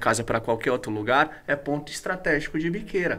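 Bright and sharp in tone, this man's voice sits at a fairly high pitch. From Brazil, Guarulhos (São Paulo). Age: 30s. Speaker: pastor. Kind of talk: casual chat.

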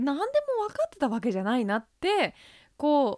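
In a very clean recording with a silent background and a dry, close sound with no echo, a woman speaks at a moderate pace in an animated tone with lively intonation. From United States. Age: 30s. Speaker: podcast host. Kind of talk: casual chat. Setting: home recording studio.

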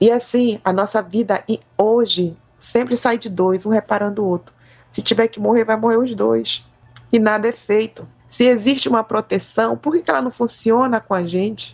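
Here a woman uses a normal speaking voice at a moderate pace. Her fairly high pitch shows ordinary variation. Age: 50s. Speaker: quilombola community activist. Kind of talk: testimony.

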